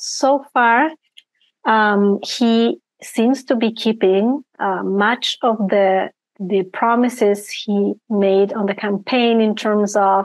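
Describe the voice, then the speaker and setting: A woman with an Argentine accent speaks very slowly at a fairly high pitch, her intonation fairly even and her loudness very even. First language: Spanish. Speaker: risk management and ethics consultant. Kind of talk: interview. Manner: hesitant, many fillers.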